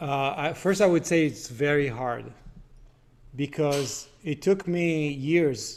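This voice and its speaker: A man speaks in an ordinary speaking voice. His pitch varies in the usual way. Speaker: philosophy speaker. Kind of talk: live Q&A discussion. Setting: video call.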